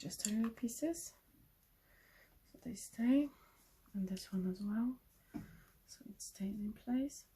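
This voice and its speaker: Fairly high-pitched with a dark, mellow tone, a woman sounds somewhat breathy and shows ordinary pitch variation. She speaks at a fairly slow pace with long, frequent pauses and big swings in loudness. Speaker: craft tutorial maker. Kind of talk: tutorial.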